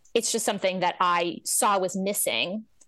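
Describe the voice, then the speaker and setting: Against a quiet background, a woman with an ordinary speaking voice talks at a moderate pace. Her pitch is medium. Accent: American. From New Jersey. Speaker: nonprofit director and organizing trainer. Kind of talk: interview.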